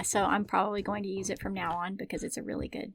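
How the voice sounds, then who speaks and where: With a Southern US accent and vocal fry, a woman of medium pitch talks at a very fast pace with fairly even intonation. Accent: Southern American. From Southern United States. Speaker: book recommender.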